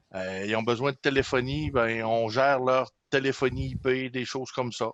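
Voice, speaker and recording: Over a quiet background, a man with a Saguenay accent talks at a medium pitch and moderate pace with fairly even intonation. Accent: Saguenay Quebec French. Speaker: system administrator. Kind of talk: casual chat.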